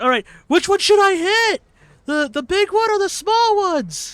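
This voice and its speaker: At a moderate pace, a squeaky, put-on character voice speaks at an extremely high pitch. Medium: game stream. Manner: hesitant, unsure.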